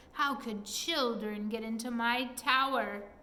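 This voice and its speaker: In a put-on character voice, a woman growls at a fairly high pitch with fairly even intonation, and an echo is audible. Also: fairly slow pace. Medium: read story.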